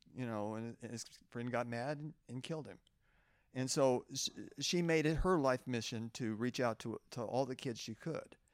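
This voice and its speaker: In an ordinary speaking voice, a man with an American accent talks at a moderate pace and medium pitch, using ordinary pitch variation, on a very clean recording with a silent background. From Oklahoma. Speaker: retired lab engineer. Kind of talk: testimony. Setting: at a festival museum.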